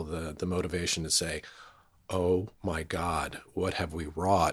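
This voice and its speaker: In a very clean recording with a silent background, a man with an American accent speaks in a very deep, low voice. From New Jersey, rural area outside New York City. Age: 50s. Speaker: television production company founder. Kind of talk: interview conversation. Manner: halting, many fillers and restarts.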